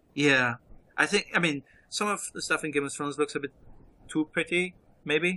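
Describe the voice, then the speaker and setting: A man with a German accent speaks at a fairly high pitch in a bright, sharp tone. The sound is dry and close with no echo, and his pauses are long and frequent. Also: ordinary pitch variation, moderate pace. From Germany. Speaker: podcast guest. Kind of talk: casual film commentary chat. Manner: halting, many repeated words.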